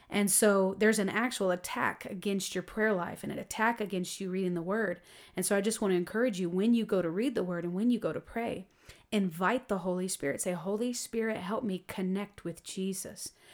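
On a very clean recording with a silent background, a woman with a normal speaking voice talks at a fairly quick pace, her medium pitch held in fairly even intonation. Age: 30s. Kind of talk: faith testimony interview.

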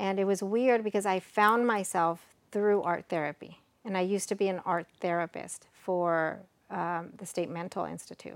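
A woman with an American accent speaks at a moderate pace in an unremarkable speaking voice, fairly low in pitch, with fairly even intonation, on a very clean recording with a silent background. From Texas, Mexican American, college in Mexico. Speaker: cup crafter and psychologist. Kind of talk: casual chat. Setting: in person at host's home.

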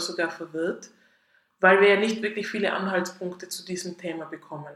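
The speaker has a Tyrolean accent. The pace is moderate. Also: woman. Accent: Tyrolean Austrian German, audible. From Austria, Tyrol. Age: 30s. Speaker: podcast host. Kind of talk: solo podcast monologue.

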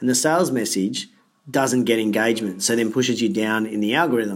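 A man with an Australian accent talks at a fairly quick pace and medium pitch with ordinary pitch variation, on a very clean recording with a silent background. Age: 40s. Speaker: fitness business coach and speaker. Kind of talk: interview.

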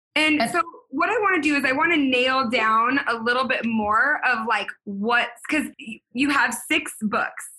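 A woman speaks in a raised, projected voice with an animated tone. Her high, bright, sharp voice holds very even loudness. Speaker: podcast host and business coach. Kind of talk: casual interview chat.

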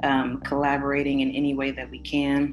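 A woman speaks with an American accent. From Los Angeles, California. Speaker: community organizer. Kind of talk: casual chat.

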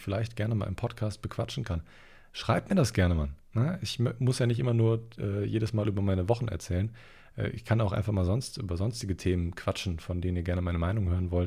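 Fairly quick in pace, a man speaks with a fairly low pitch and a dark, mellow tone that is somewhat breathy. The recording is very clean, with a silent background. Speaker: podcast host and online shop owner. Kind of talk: casual solo podcast monologue. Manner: casual, slangy.

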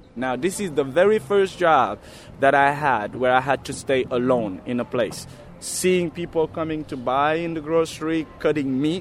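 Music plays in the background while a man speaks. His pace is moderate, with ordinary pitch variation. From Senegal. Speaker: tour guide. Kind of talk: walking-tour chat with the guide acting out his usual opening patter. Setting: outdoors on city streets and subway. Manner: casual, loose phrasing with fillers.

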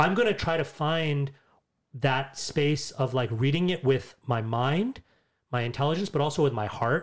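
On a very clean recording with a silent background, a man with a New York accent speaks at a moderate pace, fairly high in pitch with ordinary pitch variation. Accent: New York American. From US, New York. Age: 40s. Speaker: podcast guest, religious community member. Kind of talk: casual conversation.

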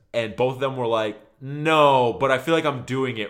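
A man talks at a fairly slow pace in a medium pitch with ordinary pitch variation. He has a normal speaking voice. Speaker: music podcast co-host. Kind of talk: casual chat.

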